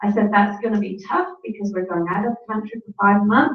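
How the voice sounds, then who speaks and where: Over music in the background and audible room echo, a woman with an English accent speaks at medium pitch. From England. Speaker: network marketing speaker. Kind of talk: conference talk.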